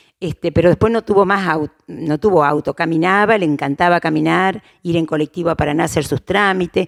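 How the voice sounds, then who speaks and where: In an Argentine Litoral accent, a woman speaks at a fairly low pitch and a fairly quick pace. Her intonation is fairly even, and the sound is dry and close with no echo. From Argentina, Crespo, Entre Ríos. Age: 60s. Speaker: interviewee, local elder. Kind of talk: oral history interview. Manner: halting, many fillers and restarts.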